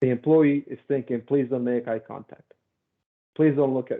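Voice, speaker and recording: With a Spanish accent, a man talks at a fairly quick pace and a medium pitch. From Mexico City, Mexico. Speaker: safety consultant. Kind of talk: presentation. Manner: animated.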